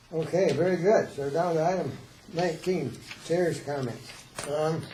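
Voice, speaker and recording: Over noticeable background noise and audible room echo, a man speaks at a moderate pace. His pitch is fairly high, with ordinary variation. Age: 70s. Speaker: board chair. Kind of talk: public meeting.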